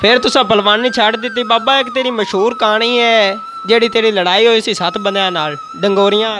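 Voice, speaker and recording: Over noticeable background noise, a high-pitched man talks with fairly even intonation. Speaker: video host. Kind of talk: casual talk to camera. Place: home room. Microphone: lapel.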